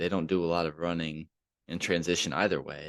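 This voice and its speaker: With a very deep, low voice, a man speaks at a moderate pace. The sound is dry and close, with no echo, against a quiet background. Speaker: sports podcast host. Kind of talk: casual sports analysis to camera.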